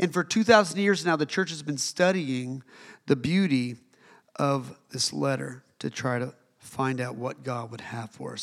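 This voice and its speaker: A man's plain, everyday voice, with lively intonation at a fairly slow pace. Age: 40s. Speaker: pastor. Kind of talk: sermon. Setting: church with congregation. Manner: casual, conversational with fillers.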